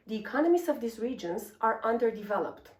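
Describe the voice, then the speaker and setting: A woman with a Romanian accent, fairly high-pitched, with lively intonation and a fairly quick pace. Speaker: energy researcher. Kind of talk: scripted presentation.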